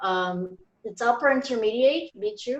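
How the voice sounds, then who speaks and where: A woman's lively intonation in a Portuguese accent. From Brazil. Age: 30s. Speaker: English learner volunteer. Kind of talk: self-introduction in online group.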